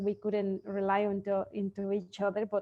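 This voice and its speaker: A woman with a Spanish accent, medium pitch and a dark, mellow tone. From Mexico. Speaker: sleep consultant, entrepreneur. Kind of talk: interview. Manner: halting.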